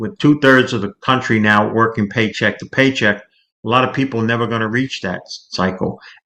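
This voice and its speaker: A man with an American accent talks at a medium pitch in a bright, sharp tone, with hardly any pauses and big swings in loudness. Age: 60s. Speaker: market commentator, financial planner. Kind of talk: interview.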